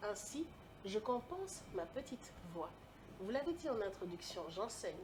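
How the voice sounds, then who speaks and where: A somewhat breathy woman speaks at a fairly slow pace, her fairly high pitch moving in very wide swings. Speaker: lecturer and public speaking coach. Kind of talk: interview. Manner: carefully articulated.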